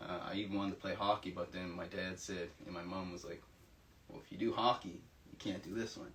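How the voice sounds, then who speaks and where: In a Nova Scotian accent, a man talks at a very deep, low pitch and a fairly quick pace. His intonation is monotone and flat, with big swings in loudness. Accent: Canadian (Nova Scotian) English. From Nova Scotia, Canada (Halifax). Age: 20s. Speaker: university student. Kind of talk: interview testimony.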